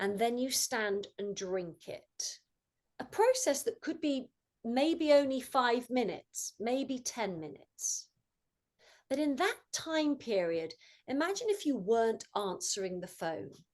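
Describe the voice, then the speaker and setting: A woman's high voice with a British accent, fairly slow, with very wide pitch swings. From England. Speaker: mindfulness coach. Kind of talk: talk to student club.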